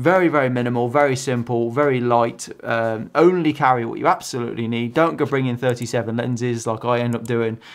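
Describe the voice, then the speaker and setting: A man talks at a fairly quick pace with hardly any pauses and ordinary pitch variation against a quiet background. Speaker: photography vlogger. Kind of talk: casual vlog chat. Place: home room.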